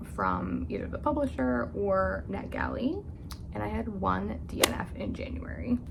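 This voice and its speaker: A soft-spoken woman talks at a moderate pace, with audible room echo around her voice. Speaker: book youtuber. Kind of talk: casual vlog monologue. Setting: at home upstairs.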